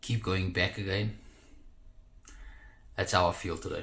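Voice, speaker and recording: A man with a very deep, low pitch, a bright, sharp tone and a South African accent, at a moderate pace. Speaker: social media marketer. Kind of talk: casual vlog talk to camera.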